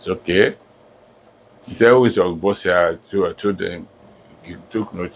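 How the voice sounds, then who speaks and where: A man with a Nigerian accent speaks at a moderate pace. His pitch is fairly low and his intonation fairly even. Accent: Nigerian (Yoruba) English. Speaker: professor. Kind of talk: life story interview.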